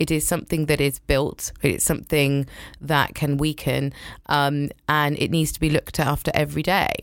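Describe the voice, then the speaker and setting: The speaker has an animated tone and a British accent. Vocal fry runs through very even loudness. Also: woman, very deep, low pitch for a woman, moderate pace, very clean recording, silent background. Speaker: communications director. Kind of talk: casual interview chat. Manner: animated, laughs a lot.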